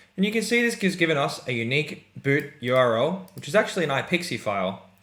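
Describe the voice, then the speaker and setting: This man has a fairly high pitch, vocal fry and an upbeat tone. His pitch swings are very wide. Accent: Australian. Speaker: software product presenter. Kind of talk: product demo tutorial. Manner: casual, upbeat.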